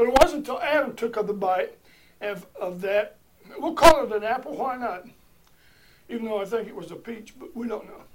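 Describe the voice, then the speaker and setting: The speech moves at a fairly quick pace, broken by long, frequent pauses. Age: 60s. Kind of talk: sermon-style teaching. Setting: recorded in a room on video. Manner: emphatic, repetitive.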